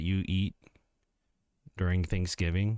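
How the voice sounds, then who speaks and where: Quiet and at a moderate pace, a man speaks. The recording is very clean, with a silent background. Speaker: livestreamer. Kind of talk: casual livestream chat.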